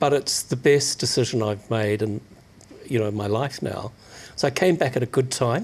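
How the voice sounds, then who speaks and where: Somewhat breathy man's voice at a medium pitch. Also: ordinary pitch variation, moderate pace. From New Zealand. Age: 60s. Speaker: magazine publisher. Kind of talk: radio interview.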